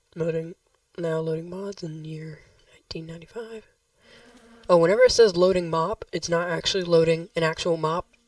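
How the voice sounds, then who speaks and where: The delivery has a flat, monotone intonation while the loudness swings widely. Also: woman. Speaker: gaming youtuber. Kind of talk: gameplay tutorial. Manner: casual, hesitant.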